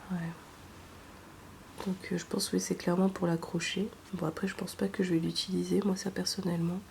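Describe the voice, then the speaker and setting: A soft-spoken woman talks at a fairly quick pace, broken by long, frequent pauses. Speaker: ASMR creator. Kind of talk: ASMR unboxing.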